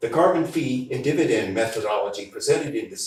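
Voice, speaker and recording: A man's voice with audible room echo. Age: 70s. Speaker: member of the public addressing council. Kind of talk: public comment speech at town council meeting. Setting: town council meeting room with audience. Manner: formal, prepared remarks.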